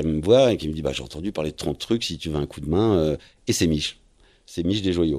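On a very clean recording with a silent background, a man with a very deep, low pitch speaks with ordinary pitch variation. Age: 50s. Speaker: professional sailor. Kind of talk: interview, life story. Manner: hesitant, many fillers.

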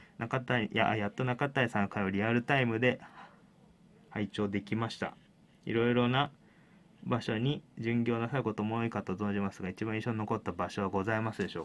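With fairly even intonation, this man delivers his words at a fairly quick pace. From Japan, Kawasaki (Kanagawa); Japan. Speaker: pro wrestling referee and show host; show host. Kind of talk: solo free talk; radio show talk. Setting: studio. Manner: many filler words, rambling. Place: studio. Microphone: studio mic.

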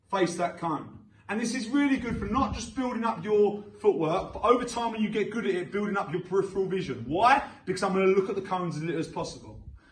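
The voice moves at a very fast pace with ordinary pitch variation, against audible room echo and light background noise. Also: man, high pitch for a man. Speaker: boxing coach. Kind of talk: tutorial. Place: gym.

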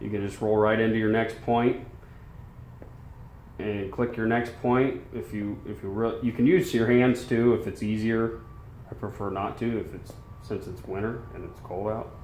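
Light background noise and audible room echo surround a man who speaks at a moderate pace with fairly even intonation. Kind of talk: tutorial. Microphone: phone near.

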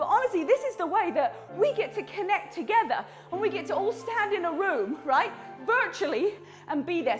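A woman talks at a fairly quick pace with clear music in the background. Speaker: fitness instructor. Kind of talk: workout instruction and casual chat. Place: home room.

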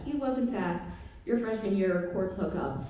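A woman speaks with lively intonation. Audible room echo surrounds her voice. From US. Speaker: student stand-up comedian. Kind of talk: stand-up comedy. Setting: stage with audience. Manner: animated, raunchy, self-deprecating. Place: stage.

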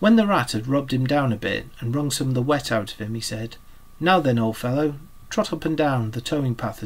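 The passage is read aloud in a natural voice whose pitch moves in an ordinary way.

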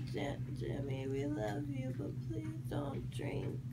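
Loud background noise fills the recording. Over it, a woman talks at a very slow pace. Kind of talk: casual heartfelt message to camera. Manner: slurred, drowsy, drugged speech. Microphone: phone near.

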